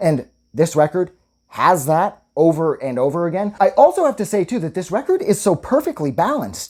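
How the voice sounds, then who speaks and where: At a moderate pace, the speaker sounds enthusiastic on a very clean recording with a silent background. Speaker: music reviewer. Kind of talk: album review monologue. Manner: enthusiastic, casual with fillers.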